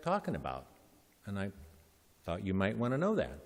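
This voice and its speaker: This is a man talking. He speaks with an American accent. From Nebraska. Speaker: bishop. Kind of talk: sermon.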